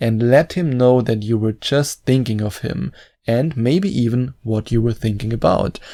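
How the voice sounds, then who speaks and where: The recording is very clean, with a silent background. A man with a non-native accent speaks in a dark, mellow tone of medium pitch with ordinary pitch variation. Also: moderate pace. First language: not English. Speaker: dating coach YouTuber. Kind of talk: advice talk to camera.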